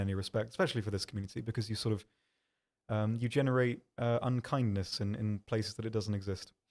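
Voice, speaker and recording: A man with a British accent at a fairly quick pace, on a very clean recording with a silent background. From UK. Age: 20s. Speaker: game community manager and streamer. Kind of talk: casual livestream chat answering viewers. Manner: fast, stumbling over words; hesitant, many ums.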